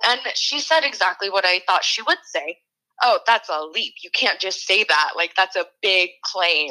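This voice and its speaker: A woman speaks in an unremarkable speaking voice at medium pitch. Her pace is fairly slow and her intonation lively. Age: 20s. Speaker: barista and student with endometriosis. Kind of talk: casual interview.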